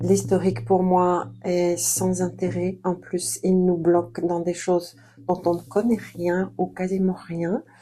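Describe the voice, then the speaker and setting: A woman's fairly low, monotone voice, flat in intonation and very slow. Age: 60s. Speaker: therapist and coach. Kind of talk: interview monologue. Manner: hesitant with frequent 'euh'.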